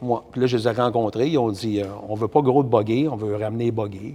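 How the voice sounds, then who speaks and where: With a Quebec accent, a man speaks at a fairly quick pace in a medium pitch, his tone dark and mellow. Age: 60s. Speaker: race driver and builder. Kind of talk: casual interview.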